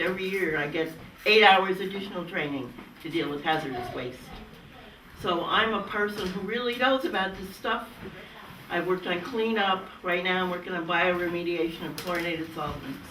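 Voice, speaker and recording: A woman's medium-pitched voice at a fairly quick pace, with ordinary pitch variation, audible room echo and noticeable background noise. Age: 80s+. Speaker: hydrogeologist expert panelist. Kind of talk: panel discussion. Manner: animated.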